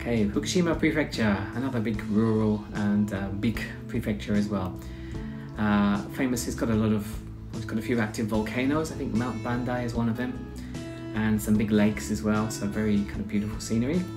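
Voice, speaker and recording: Clear music plays in the background. Over it, a man talks at a fairly quick pace with a fairly low pitch. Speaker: presenter. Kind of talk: casual explainer over slides. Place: home room. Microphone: webcam.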